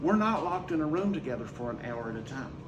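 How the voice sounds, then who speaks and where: Lively intonation at a fairly quick pace, with audible room echo and noticeable background noise. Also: man. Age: 60s. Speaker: school teacher. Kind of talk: casual talk to camera. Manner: conversational, emphatic.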